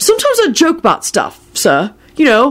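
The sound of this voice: Using a put-on character voice, a woman speaks at a moderate pace with a high pitch and very wide pitch swings.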